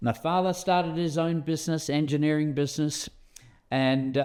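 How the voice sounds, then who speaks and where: Against a quiet background, a man with an Australian accent speaks at a fairly high pitch. His pace is moderate. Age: 70s. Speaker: interviewer, bullion dealer. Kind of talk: interview. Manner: halting.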